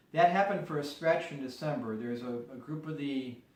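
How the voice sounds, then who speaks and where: A man with an American accent is heard amid audible room echo. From US Midwest, Chicago area. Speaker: peace activist. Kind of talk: interview. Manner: measured, explanatory.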